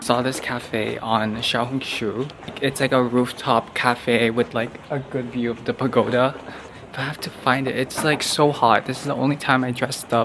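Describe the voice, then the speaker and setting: At a moderate pace and medium pitch, a man talks over noticeable background noise. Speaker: travel vlogger. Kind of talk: casual vlog narration. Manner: chatty, filler-heavy.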